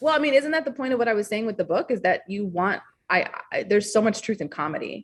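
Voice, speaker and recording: A woman's fairly high, somewhat breathy voice at a very fast pace, with lively intonation and an American accent. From US Upper Peninsula, Michigan. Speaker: author. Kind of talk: podcast interview. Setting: call.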